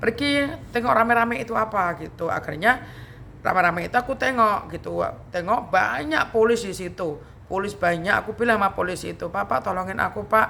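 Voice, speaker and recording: A woman's very fast speech with lively intonation. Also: medium pitch for a woman. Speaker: YouTube vlogger. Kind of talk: casual storytelling vlog.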